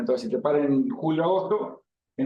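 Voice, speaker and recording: A man talks at a very fast pace. His pitch is fairly high and his intonation lively. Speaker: cattle breeding expert speaker. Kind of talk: talk to livestock expo audience. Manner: casual, colloquial.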